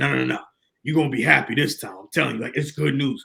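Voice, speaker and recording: Talking at a very fast pace, a man with a medium pitch puts on a raspy character voice. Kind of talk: casual, reassuring.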